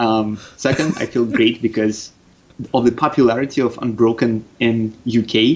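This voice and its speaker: Speaking with a slight Russian accent, a man keeps a medium pitch and fairly even intonation. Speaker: game designer. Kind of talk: podcast interview.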